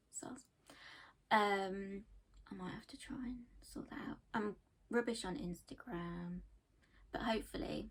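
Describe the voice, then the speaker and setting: A woman speaks with an English Midlands accent and lively intonation. Her voice is somewhat breathy. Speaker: knitting podcaster, accountant by day. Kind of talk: casual chat.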